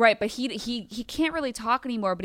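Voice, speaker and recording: An animated woman's voice, fairly high in pitch with lively intonation, dry and close with no echo, on a very clean recording with a silent background. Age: 30s. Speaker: comedian. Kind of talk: casual chat.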